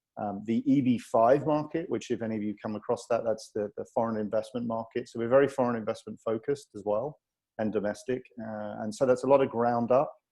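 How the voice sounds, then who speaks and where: Speaking with a British accent, this voice moves at a fairly quick pace with hardly any pauses and fairly even intonation. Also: man, medium pitch for a man. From Britain. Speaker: real estate investment executive. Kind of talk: webinar presentation.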